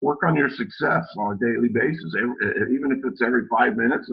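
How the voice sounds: In a put-on character voice, a man speaks very fast with a raspy sound, a medium pitch, and lively intonation.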